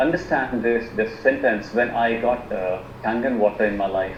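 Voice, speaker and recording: A man with an Indian accent is heard through noticeable background noise and audible room echo. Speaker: alternative medicine practitioner. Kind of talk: presentation on a video call. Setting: video call. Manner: halting, many fillers and repetitions.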